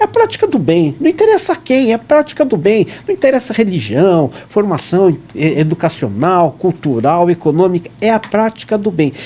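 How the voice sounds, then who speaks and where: Noticeable background noise accompanies a man speaking at a moderate pace. His pitch swings very widely. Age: 60s. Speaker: dentist and scout leader. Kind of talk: podcast interview.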